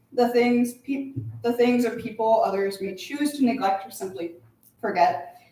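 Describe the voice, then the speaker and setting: Audible room echo, moderate speed and lively intonation. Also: woman. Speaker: creative writing student, poet. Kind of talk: poetry reading. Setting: stage with audience. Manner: halting.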